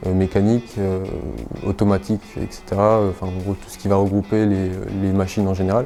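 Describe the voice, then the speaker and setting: With music in the background, a man with a fairly low pitch speaks at a moderate pace in a monotone, flat intonation. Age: 20s. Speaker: apprentice maintenance technician. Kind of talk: interview. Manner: hesitant, many fillers.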